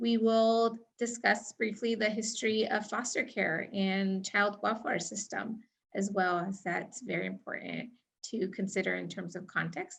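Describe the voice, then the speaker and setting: Somewhat breathy and fairly slow, a woman with an American accent speaks at medium pitch with fairly even intonation. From United States, Mexican American. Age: 30s. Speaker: trainer. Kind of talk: training presentation.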